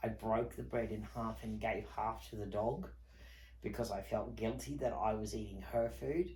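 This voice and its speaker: Speaking at a moderate pace with an Australian accent, a man with a very deep, low pitch and vocal fry makes very wide pitch swings, with audible room echo around him. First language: not English. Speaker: online video host. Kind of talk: personal testimony.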